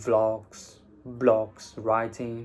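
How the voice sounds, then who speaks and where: The speaker is a man. His tone is dark and mellow. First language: Vietnamese. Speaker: English teacher and IELTS content creator. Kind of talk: casual vlog monologue.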